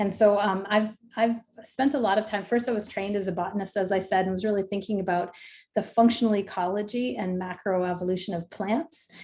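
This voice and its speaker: A woman's medium-pitched voice, dark and mellow in tone, at a fairly quick pace. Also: ordinary pitch variation. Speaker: professor, ecologist. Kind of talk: lecture. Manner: fast.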